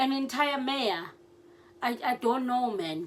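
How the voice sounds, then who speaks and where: A high-pitched woman talks at a fairly slow pace with lively intonation. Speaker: political YouTuber. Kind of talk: casual commentary. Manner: halting, hesitant; code-switching.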